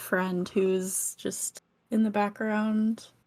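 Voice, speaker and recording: A soft-spoken woman talks at a medium pitch and a very slow pace. The recording is very clean, with a silent background. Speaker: streamer and speedrunner. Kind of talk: interview podcast conversation. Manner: quiet, soft-spoken.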